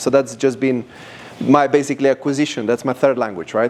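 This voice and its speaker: A man speaks with a Slovenian accent. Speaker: language company founder. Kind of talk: presentation to audience. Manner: animated.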